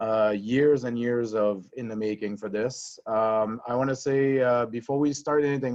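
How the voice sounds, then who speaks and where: A man with a French accent and a medium pitch talks at a moderate pace in a flat monotone. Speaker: hockey coach. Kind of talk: testimony. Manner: halting, many fillers.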